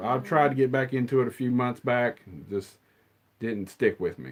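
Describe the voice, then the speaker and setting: Against a quiet background, a man with an American accent speaks at medium pitch. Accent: redneck. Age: 40s. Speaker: movie collector streamer. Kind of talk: casual chat. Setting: live stream.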